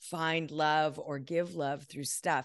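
Very deep, low-pitched woman's voice, fairly even in intonation and fairly slow, against a quiet background. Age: 50s. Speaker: decluttering expert and author. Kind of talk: casual chat.

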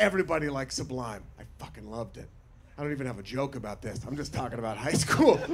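An American accent marks this man's animated tone. Noticeable background noise runs behind him. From Portland, Oregon. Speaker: stand-up comedian. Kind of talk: stand-up comedy. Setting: stage with audience. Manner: animated, bantering.

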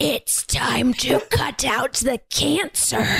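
This is a put-on character voice, high-pitched and raspy. It moves at a very slow pace. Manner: menacing.

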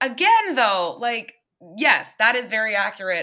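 A woman's raised, projected voice, bright and sharp in tone, fairly slow in pace, with very wide pitch swings. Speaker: comedian and performer. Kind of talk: casual podcast interview.

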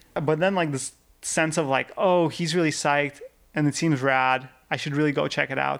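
A man talks with a Russian accent. His pitch sits fairly high. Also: fairly even intonation, moderate pace, very clean recording, silent background. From Russia, Yekaterinburg. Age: 30s. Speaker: rock climber. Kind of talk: casual chat.

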